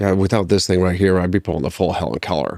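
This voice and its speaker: A man with a very deep, low pitch and a Midwestern American accent. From rural Ohio. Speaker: army veteran. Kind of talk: interview.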